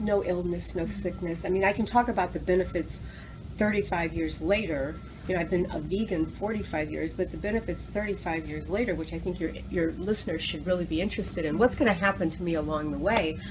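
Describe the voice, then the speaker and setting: A woman talking at a very fast pace over music in the background. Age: 60s. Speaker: raw food restaurateur and educator. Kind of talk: interview. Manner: animated.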